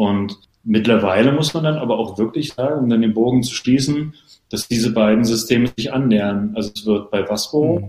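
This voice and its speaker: With a dark, mellow tone and medium pitch, a man speaks at a fairly quick pace with ordinary pitch variation. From Berlin, Germany. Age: 30s. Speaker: water polo player. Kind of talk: casual interview.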